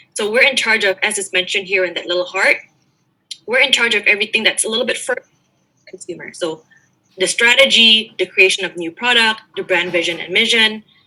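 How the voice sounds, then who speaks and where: A woman's fairly high voice at a very fast pace, with ordinary pitch variation and big swings in loudness. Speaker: global marketing manager. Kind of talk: panel discussion.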